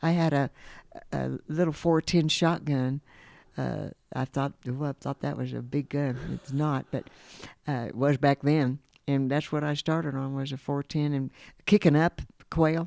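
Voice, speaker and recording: This woman's voice is very deep and low, with a dark, mellow tone and fairly even intonation, moving at a fairly slow pace with long, frequent pauses. The recording is very clean, the background silent, and the sound dry and close with no echo. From Kansas. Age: 70s. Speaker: lodge manager. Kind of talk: casual interview. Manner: halting.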